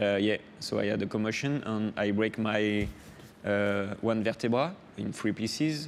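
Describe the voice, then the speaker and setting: With a French accent, a man talks at a moderate pace in a fairly low pitch with ordinary pitch variation. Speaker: offshore racing sailor. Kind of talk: interview. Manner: halting, many hesitations.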